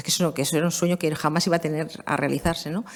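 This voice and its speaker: A woman talking at a very fast pace. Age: 50s. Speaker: law professor. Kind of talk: conference talk. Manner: conversational.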